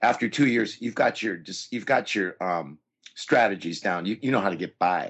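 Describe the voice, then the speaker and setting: In an American accent, a man speaks at a moderate pace with a fairly low pitch and ordinary pitch variation. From Southern California. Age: 60s. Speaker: university English professor. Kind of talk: interview.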